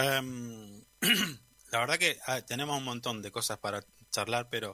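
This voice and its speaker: At a moderate pace, a man with a medium-pitched voice and a bright, sharp tone speaks with fairly even intonation. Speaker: radio host. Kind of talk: radio interview.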